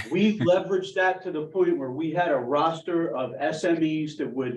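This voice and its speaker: Speaking with an American accent, a man has a high pitch. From Philadelphia, US. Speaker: emergency planning committee member. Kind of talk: committee meeting discussion.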